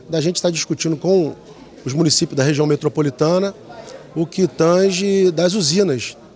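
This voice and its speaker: A man with a fairly high pitch talks at a moderate pace with ordinary pitch variation over light background noise. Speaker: head of a metropolitan planning institute. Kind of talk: interview. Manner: halting.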